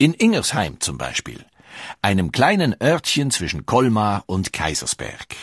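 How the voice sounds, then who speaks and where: Speaking at a fairly slow pace, a man with a fairly low pitch and vocal fry makes very wide pitch swings, in a dry, close sound with no echo against a quiet background. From Switzerland. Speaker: documentary narrator. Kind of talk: scripted narration.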